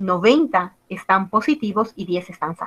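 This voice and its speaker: A woman with an ordinary speaking voice talks fairly slowly at a medium pitch, with ordinary pitch variation. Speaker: biostatistics teacher. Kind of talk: lecture.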